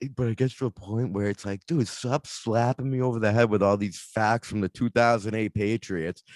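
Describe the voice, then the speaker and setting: With a Boston accent, this voice moves at a fairly quick pace with hardly any pauses and fairly even intonation, recorded with a dry, close sound and no echo. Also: man, medium pitch for a man. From Boston area, Massachusetts. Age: 20s. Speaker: podcast host and stand-up comedian. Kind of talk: casual chat. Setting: studio, on video.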